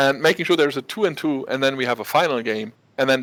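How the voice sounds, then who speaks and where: A man with a German accent speaks at a very fast pace and a fairly high pitch. The recording is very clean, with a silent background. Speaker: esports caster. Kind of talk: live commentary. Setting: studio, casting from the background. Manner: animated.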